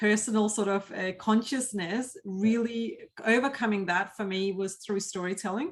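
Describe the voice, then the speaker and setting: This woman talks at a moderate pace with a non-native accent. Her pitch sits in the medium range and her intonation stays fairly even. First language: not English. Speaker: cybersecurity professional and presenter. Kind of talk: interview conversation.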